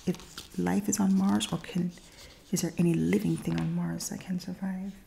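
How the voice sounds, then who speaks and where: Soft-spoken, the speaker moves along at a moderate tempo. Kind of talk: ASMR magazine reading.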